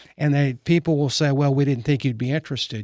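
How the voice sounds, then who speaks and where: Recorded very cleanly against a silent background, a man speaks at medium pitch in a Texan accent. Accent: Texan American. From Texas (Fort Worth, Richardson). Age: 70s. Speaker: real estate broker. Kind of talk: casual interview.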